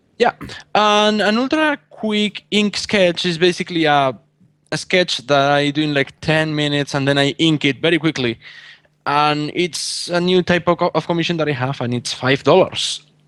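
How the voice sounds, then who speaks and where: At a moderate pace, a man with a Spanish accent speaks in a fairly high pitch with ordinary pitch variation. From Spain. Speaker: artist. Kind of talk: casual chat. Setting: call.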